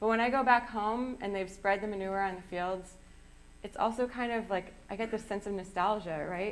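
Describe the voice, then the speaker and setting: Audible room echo surrounds a woman speaking with an American accent at medium pitch and a moderate pace. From US Midwest, southwest Wisconsin. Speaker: sustainable seafood program manager. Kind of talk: public lecture.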